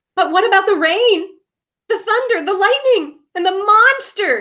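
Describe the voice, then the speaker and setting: A woman talks at a moderate pace in a put-on character voice. Her pitch is extremely high. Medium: read story. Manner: nervous, stammering.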